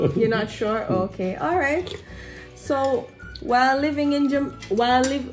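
Faint music plays in the background as a woman speaks at a fairly slow pace. Her intonation is lively. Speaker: food vlogger. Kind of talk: casual interview questions to camera. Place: home room. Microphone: camera far.

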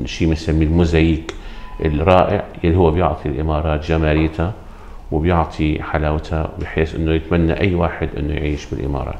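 A man speaks at a moderate pace with a Syrian accent and a very deep, low pitch. His intonation is monotone and flat, over light background noise. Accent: Syrian Levantine Arabic. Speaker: pediatric dentist. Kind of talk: interview. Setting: dental clinic. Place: office.

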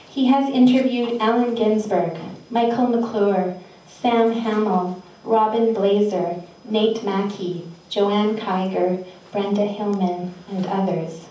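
With audible room echo around her, a woman speaks very slowly with fairly even intonation. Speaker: festival organizer and host. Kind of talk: event welcome and introductions. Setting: live venue with audience. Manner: warm, playful, laughing. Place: hall.

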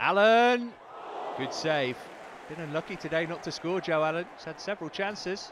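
With a British accent, a man talks at a moderate pace in a high pitch, his tone animated and his pitch varying in an ordinary way, broken by long, frequent pauses. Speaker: match commentator. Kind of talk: live football commentary, voiced over highlights. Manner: animated, rising with excitement at goals.

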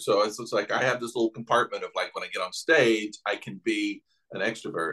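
Against a quiet background, a man talks at a very fast pace in a Southern US accent. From Knoxville, Tennessee. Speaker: artist and podcaster. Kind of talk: interview answer. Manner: casual, conversational. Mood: amused, storytelling. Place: home room. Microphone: video call.

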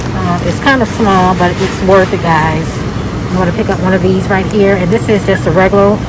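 Noticeable background noise is present. The sound is dry, without any echo. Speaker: shopping vlogger. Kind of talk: casual vlog chat. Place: shop. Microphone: phone near.

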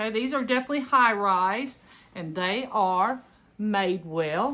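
A woman with a Southern US accent speaks at a medium pitch. Her pace is moderate and her intonation lively. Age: 50s. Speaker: clothing reseller, retired teacher. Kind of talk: casual unboxing vlog. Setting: home recording. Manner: chatty, conversational. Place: home room. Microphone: phone near.

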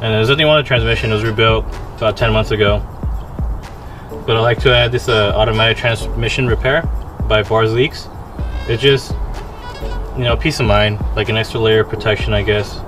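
Over faint background music, a man speaks at a fairly quick pace. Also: very even loudness. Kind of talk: casual vlog chat. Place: street. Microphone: phone near.

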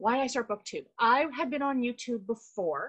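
The speaker has a Canadian accent and a moderate pace. The background is quiet. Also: woman. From Canada. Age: 40s. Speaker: book YouTuber. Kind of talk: casual chat. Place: home room. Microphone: video call.

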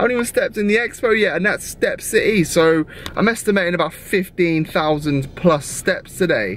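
Against noticeable background noise, a man talks in a high pitch. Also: ordinary pitch variation, moderate pace. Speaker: fitness vlogger / amateur bodybuilder. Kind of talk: vlog monologue to camera.

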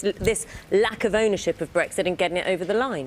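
A woman speaks at a fairly quick pace. Her pitch is medium, with ordinary pitch variation.

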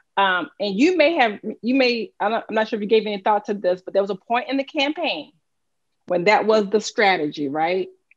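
Lively intonation and a fairly quick pace mark this voice with a Southern US accent. The background is quiet. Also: woman, fairly high pitch for a woman. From US South. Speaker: political strategist and moderator; moderator. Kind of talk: interview. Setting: video call. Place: home room. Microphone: video call.

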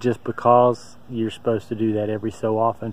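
A man's voice with clear music in the background and a dry sound with no echo. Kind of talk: casual vlog chat. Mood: relieved, upbeat. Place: open country. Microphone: phone near.

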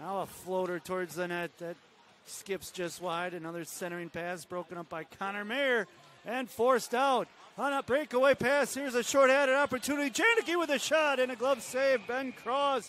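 A man speaks at an extremely high pitch with lively intonation. The sound is dry with no echo, and light background noise runs underneath. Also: moderate pace. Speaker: play-by-play announcer. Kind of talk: hockey play-by-play commentary. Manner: clipped, staccato name-and-action phrasing. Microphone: headset.

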